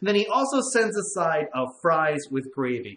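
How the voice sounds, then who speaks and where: Audible room echo follows a man as he talks. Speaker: show host. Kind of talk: casual show chat, reading viewer comments. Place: home room.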